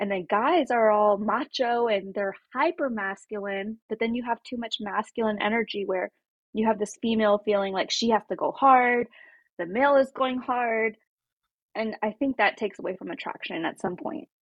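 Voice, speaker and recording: This is a woman with an unremarkable speaking voice. Her pitch is fairly high, with ordinary variation. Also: moderate pace. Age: 30s. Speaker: podcast guest. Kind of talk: casual chat.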